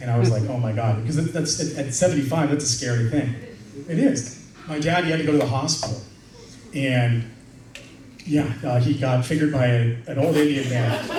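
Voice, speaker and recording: Over noticeable background noise and audible room echo, a man speaks fairly quickly in a fairly high pitch with ordinary pitch variation. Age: 30s. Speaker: comedian. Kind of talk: stand-up. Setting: stage with audience.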